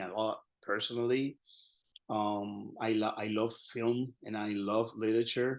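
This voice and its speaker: A man speaks with a Spanish accent at medium pitch. His intonation is monotone and flat against a quiet background. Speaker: Spanish professor. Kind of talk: lecture. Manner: halting.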